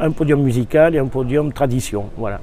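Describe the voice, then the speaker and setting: Audible room echo around a fairly high male voice. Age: 60s. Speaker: brass band conductor. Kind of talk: interview. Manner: hesitant, many fillers.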